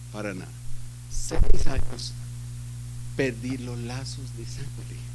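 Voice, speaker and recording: Over noticeable background noise, a man with a very deep, low pitch speaks at a very slow pace in a monotone, flat way. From Colombia, Bogotá. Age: 60s. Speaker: pastor. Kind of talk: sermon.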